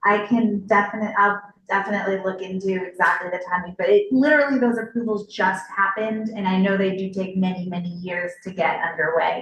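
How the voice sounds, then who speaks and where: Her medium-pitched voice keeps a fairly even intonation. The woman talks at a fairly quick pace with hardly any pauses. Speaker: city official. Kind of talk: public Q&A at community meeting. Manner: loud.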